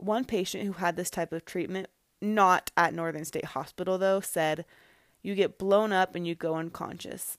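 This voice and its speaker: A woman speaks in a normal speaking voice at a medium pitch, with fairly even intonation and a moderate pace. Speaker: podcast host. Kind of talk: true-crime narration, scripted-style storytelling of historical facts. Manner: measured, even, storyteller pacing.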